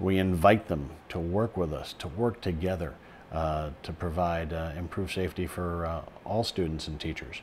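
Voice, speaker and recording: A man's very deep, low voice with an American accent, fairly even intonation and a moderate pace, over light background noise. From US. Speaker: bereaved parent and safety advocate. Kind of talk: interview. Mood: earnest, measured, somber. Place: office. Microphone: lapel.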